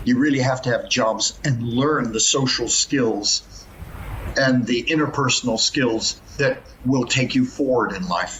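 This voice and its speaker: Against noticeable background noise, a man talks at a fairly slow pace with medium pitch and fairly even intonation. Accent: American. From US West Coast, Los Angeles. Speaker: professor. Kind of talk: podcast interview.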